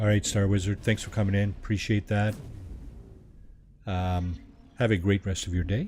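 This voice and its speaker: A man talks with a very deep, low pitch and ordinary pitch variation. Background noise is noticeable. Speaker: video game streamer. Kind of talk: live gameplay commentary. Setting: live stream. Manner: soft-spoken. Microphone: quiet, low volume.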